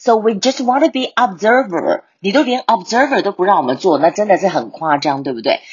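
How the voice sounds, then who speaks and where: Her medium-pitched voice swings very widely, showing vocal fry as the woman talks at a fairly quick pace with hardly any pauses. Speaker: English teacher podcaster. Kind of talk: language lesson. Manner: code-switching Mandarin and English; repeats words for drilling.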